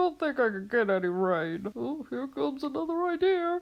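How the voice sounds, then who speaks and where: A cartoonish female-sounding character voice, high-pitched for a woman, with very wide pitch swings at a moderate pace. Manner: playful, exaggerated.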